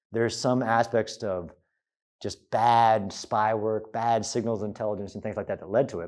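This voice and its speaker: Against a quiet background, a man talks. His pace is moderate. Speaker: guest lecturer. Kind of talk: lecture. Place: hall. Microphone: lapel.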